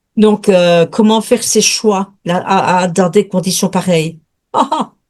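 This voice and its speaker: In a Belgian accent, a woman speaks at a very slow pace with ordinary pitch variation. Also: medium pitch for a woman. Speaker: watercolour painter, student. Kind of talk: question in webinar.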